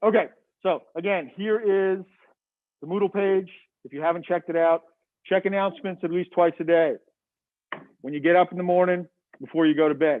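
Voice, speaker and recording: A loud, high-pitched man with an American accent and long, frequent pauses. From Massachusetts. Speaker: biology professor. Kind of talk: lecture.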